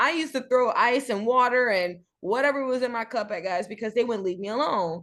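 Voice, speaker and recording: A woman's raised, projected voice, high-pitched, bright and sharp, with an animated tone and a fairly quick pace. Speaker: podcast co-host. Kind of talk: casual chat.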